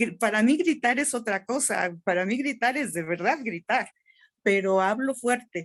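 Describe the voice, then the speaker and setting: A woman speaks at a moderate pace. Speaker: webinar participant, teacher. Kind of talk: online workshop discussion.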